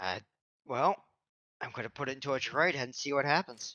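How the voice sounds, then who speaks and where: A man puts on a raspy character voice at medium pitch, talking at a fairly quick pace. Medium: actual play.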